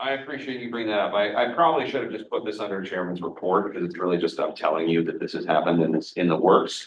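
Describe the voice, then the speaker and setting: Speaking at a very fast pace, a man leaves hardly any pauses. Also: fairly low pitch for a man, lively intonation. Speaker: regional EMS committee chairman. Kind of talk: committee meeting.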